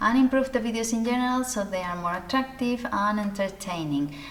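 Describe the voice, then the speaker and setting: Noticeable background noise sits behind a woman with a non-native accent. Her voice is fairly high, with lively intonation. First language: not English. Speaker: sewing youtuber. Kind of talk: casual talk to camera. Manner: conversational, some hesitations.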